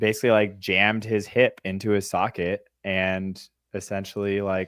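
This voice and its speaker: Here a man speaks at a fairly low pitch. His intonation is monotone and flat. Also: moderate pace. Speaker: podcast host interviewing an athlete. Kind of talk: casual interview. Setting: live stream.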